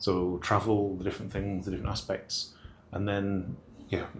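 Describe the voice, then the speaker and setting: A somewhat breathy man with a northern English accent and fairly low pitch, talking at a fairly quick pace amid audible room echo. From northern England. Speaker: engineer in shipping. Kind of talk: interview. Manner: halting, many fillers.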